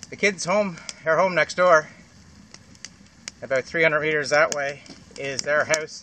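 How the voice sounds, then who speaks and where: Against noticeable background noise, a man with a Canadian Maritime accent speaks at a fairly high pitch with ordinary pitch variation. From Atlantic Canada (Maritimes, PEI). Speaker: beer reviewer and bushcraft vlogger. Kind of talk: casual vlog beer review. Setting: outdoors by a campfire. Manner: loud; fast. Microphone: far from the camera.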